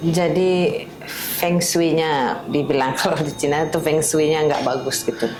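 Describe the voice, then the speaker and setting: Very even loudness, a fairly slow pace and ordinary pitch variation, with noticeable background noise. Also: woman, very deep, low pitch for a woman. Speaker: podcast host interviewing a guest. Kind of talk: podcast host interview.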